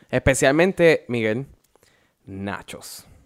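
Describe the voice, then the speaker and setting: Ordinary pitch variation runs through this man's speech. He talks very slowly. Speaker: podcast host. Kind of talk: casual chat.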